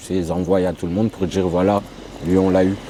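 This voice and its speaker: A man's fairly low-pitched voice against noticeable background noise. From France, Grenoble. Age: 30s. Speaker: ex-convict sharing his life story. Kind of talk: testimony interview.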